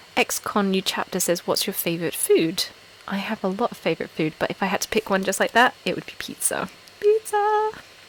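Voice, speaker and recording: A woman at a fairly quick pace, dry and close with no echo, with noticeable background noise. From Essex, England. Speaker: ASMR YouTuber. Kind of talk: casual live stream chat. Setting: live stream from home. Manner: normal speaking volume, not whispering.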